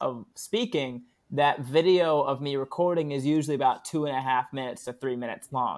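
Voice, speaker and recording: A man with an American accent speaks at a moderate pace in an unremarkable speaking voice. His pitch is fairly high, with ordinary variation. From Florida (Daytona Beach). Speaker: comedian. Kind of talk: casual chat.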